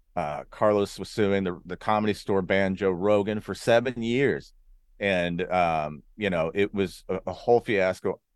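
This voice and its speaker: An unremarkable speaking voice from a man with an American accent, fairly low pitch and ordinary pitch variation against a quiet background. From Arizona and California. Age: 40s. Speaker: comedian. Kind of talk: casual interview chat.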